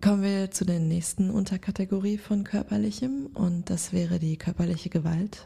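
A woman speaks in a dark, mellow, somewhat breathy tone with ordinary pitch variation. Her moderate pace has hardly any pauses. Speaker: podcast co-host. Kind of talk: casual chat.

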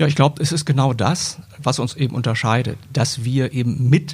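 This man's voice sits at medium pitch, with a dark, mellow tone and a somewhat breathy quality. He talks at a moderate pace with ordinary pitch variation. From Germany, moved around (Braunschweig, Cologne). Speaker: newspaper editor and podcaster. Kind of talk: interview.

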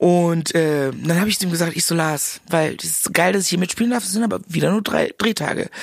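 In an animated tone, a woman with a fairly low pitch talks at a fairly quick pace with ordinary pitch variation and hardly any pauses. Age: 40s. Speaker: actress and comedian. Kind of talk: casual chat.

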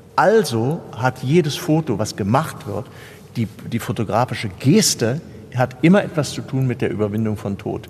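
Against noticeable background noise, a man talks at a medium pitch with lively intonation. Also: moderate pace. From Germany, Kassel (northern Hesse). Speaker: stage actor and photographer. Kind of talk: interview conversation. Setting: seated on a sofa inside a theatre building.

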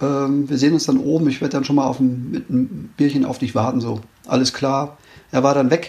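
His fairly high voice shows ordinary pitch variation. The man keeps a moderate pace. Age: 50s. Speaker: race organizer and ultrarunner. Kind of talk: interview. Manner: hesitant, many fillers.

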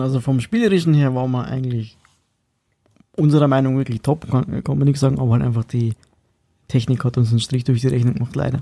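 A very fast, somewhat breathy voice with a dark, mellow tone. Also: man. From Bavaria, Upper Palatinate (Schwandorf). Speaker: punk rock drummer. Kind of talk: casual interview.

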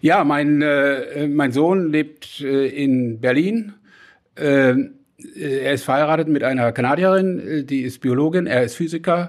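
The pace is very slow. The pitch moves with ordinary variation. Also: man. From western Germany. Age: 70s. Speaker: chamber of commerce chairman, former executive. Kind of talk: panel debate. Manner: hesitant, many filler sounds.

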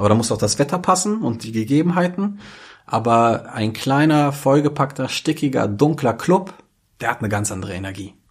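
A man's fairly high, somewhat breathy voice with very wide pitch swings, on a very clean recording against a silent background. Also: moderate pace. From Germany, Braunschweig. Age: 30s. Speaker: DJ and club operator. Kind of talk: podcast interview. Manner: hesitant, many fillers.

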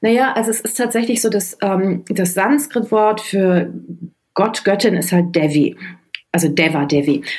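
At a fairly slow pace, a woman speaks in an unremarkable speaking voice of medium pitch with lively intonation. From Germany, Düsseldorf. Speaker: novelist. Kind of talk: interview.

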